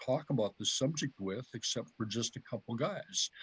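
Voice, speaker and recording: This man's somewhat breathy voice keeps a moderate pace and shows ordinary pitch variation. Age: 60s. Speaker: herpetologist and biologist. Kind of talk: casual interview chat.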